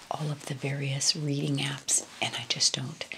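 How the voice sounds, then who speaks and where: At a fairly slow pace, a woman speaks in a very deep, low voice. Noticeable background noise is present. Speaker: lifestyle video host. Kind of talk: casual vlog chat. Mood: warm, calm, soothing. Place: home room.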